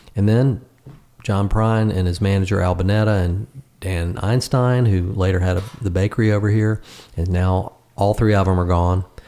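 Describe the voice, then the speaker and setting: In an ordinary speaking voice, a man talks at a moderate pace and fairly low pitch, with fairly even intonation and very even loudness. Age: 60s. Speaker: songwriter and guitarist. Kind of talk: casual chat.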